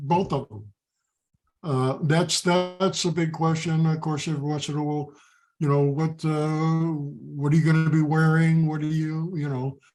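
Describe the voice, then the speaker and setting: A man's fairly high voice in an American accent at a fairly slow pace, with music in the background. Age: 70s. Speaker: football players' father. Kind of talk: interview.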